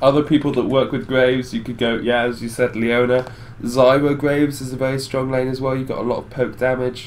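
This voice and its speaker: A man's medium-pitched, flat monotone at a fairly quick pace, over noticeable background noise. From Netherlands. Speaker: esports caster. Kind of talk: live commentary.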